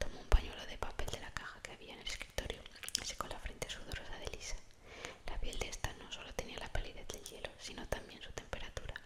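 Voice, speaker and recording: A woman's very fast whispering, with big swings in loudness and noticeable background noise. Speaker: ASMR creator. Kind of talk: whispered audiobook-style reading of a novel. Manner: whispered, soft.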